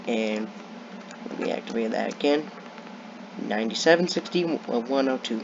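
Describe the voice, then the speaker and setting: A man speaks at a moderate pace with lively intonation and long, frequent pauses. Noticeable background noise runs underneath. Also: medium pitch for a man. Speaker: gaming youtuber. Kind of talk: gameplay commentary.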